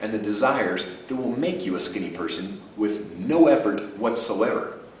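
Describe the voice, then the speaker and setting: A man with an enthusiastic tone and lively intonation at a moderate pace, over noticeable background noise. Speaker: sleep program creator and host. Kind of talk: casual talk to camera promoting a product. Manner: conversational, enthusiastic, persuasive.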